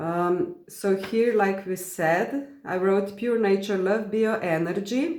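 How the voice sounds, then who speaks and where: A woman speaks at a very slow pace with hardly any pauses and ordinary pitch variation. Audible room echo is heard. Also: medium pitch for a woman. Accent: non-native. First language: not English. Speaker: spiritual content creator. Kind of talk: reading aloud from personal journal with commentary. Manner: halting, many fillers.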